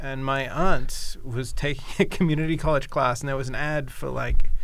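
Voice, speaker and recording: At a moderate pace, a man with a fairly high pitch speaks with fairly even intonation amid noticeable background noise and audible room echo. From England, Wallingford, Oxfordshire. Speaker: game designer. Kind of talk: casual chat.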